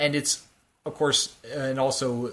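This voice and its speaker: The speaker is male. His voice lands at a medium pitch. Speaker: podcast co-host. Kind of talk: casual chat. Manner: fast; halting.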